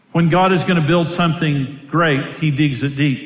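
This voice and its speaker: A man speaks fairly quickly amid noticeable background noise. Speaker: pastor. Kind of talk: sermon. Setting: stage with audience. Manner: animated.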